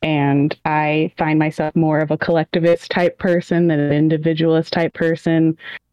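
Monotone, flat intonation at a moderate pace, with a dry, close sound and no echo. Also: woman. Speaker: patron chat participant. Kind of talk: casual group chat. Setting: live video chat.

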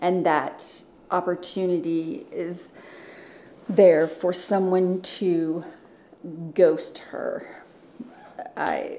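Speaking very slowly with long, frequent pauses, a woman has a fairly low pitch, a dark, mellow tone and monotone, flat intonation, and audible room echo surrounds her. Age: 40s. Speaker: former Marine. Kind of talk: casual chat.

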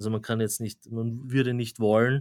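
In a very clean recording with a silent background, a man speaks with an Austrian accent and monotone, flat intonation. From Austria, Graz. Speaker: AI researcher and professor. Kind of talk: interview.

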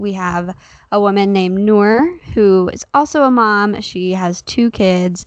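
A woman of medium pitch with an ordinary speaking voice. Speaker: podcast co-host. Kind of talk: casual chat. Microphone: holding mic close to mouth.

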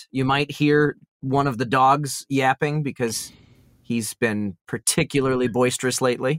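Dry and close with no echo, a man's medium-pitched voice moves at a moderate pace with fairly even intonation. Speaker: voice actor. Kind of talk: casual chat.

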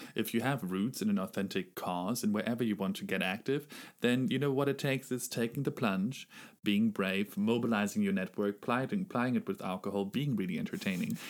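A man speaks at a fairly quick pace in a plain, everyday voice, his pitch medium. The recording is very clean, with a silent background. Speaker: podcast co-host. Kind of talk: podcast interview.

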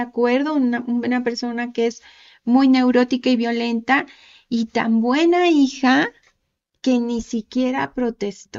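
At a fairly slow pace, a woman talks in a high voice with fairly even intonation. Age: 50s. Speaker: author. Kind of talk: casual chat.

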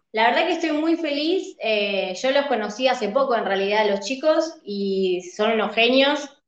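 With lively intonation and fairly high pitch, a woman speaks in a normal speaking voice. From Argentina, Buenos Aires province. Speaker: singer. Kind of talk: interview.

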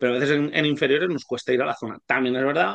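A man talks at a very fast pace with a medium-pitched voice. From Spain, Alicante province. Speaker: basketball coach and language teacher. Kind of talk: casual interview.

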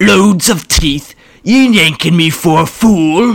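Someone bellows in a put-on character voice at a middle pitch. The pace is fairly slow. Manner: bellowing, angry.

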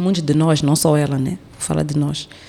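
A woman speaks over noticeable background noise. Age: 30s. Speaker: artist and storyteller, feminist activist. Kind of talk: casual interview conversation.

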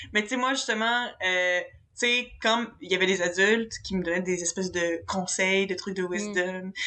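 A woman speaks with a Quebec accent at a medium pitch and a moderate pace. Her tone is bright and sharp, her intonation fairly even. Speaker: podcast co-host.

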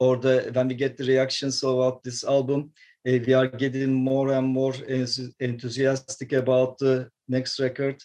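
At a moderate pace, a man of medium pitch speaks in a dark, mellow tone with flat, monotone intonation. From Turkey, Istanbul. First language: Turkish. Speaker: metal guitarist. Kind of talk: interview. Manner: halting.

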